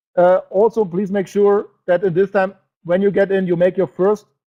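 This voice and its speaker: A man's high-pitched voice with a German accent, monotone and flat, at a moderate pace. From Germany. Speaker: network marketing presenter. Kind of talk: sales webinar presentation. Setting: online webinar broadcast. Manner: halting, with many fillers; emotional.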